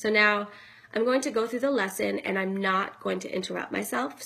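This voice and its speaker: A woman does a put-on character voice that is raspy and soft-spoken, at a medium pitch. She keeps a moderate pace with ordinary pitch variation. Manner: soft, slow, deliberate.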